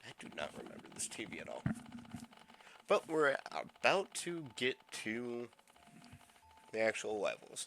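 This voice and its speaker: Over music in the background, a man talks at a fairly slow pace with long, frequent pauses and big swings in loudness. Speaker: gaming video creator. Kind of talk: let's play commentary. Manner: casual, hesitant.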